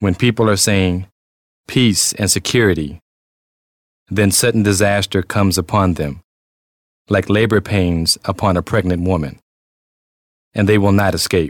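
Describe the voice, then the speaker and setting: Over a very clean recording with a silent background, a man with a fairly low pitch speaks at a moderate pace with very even loudness, fairly even intonation, long, frequent pauses, and a dry, close sound with no echo. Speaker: scripture reader. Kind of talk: scripture reading, first reading at Mass. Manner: formal, measured.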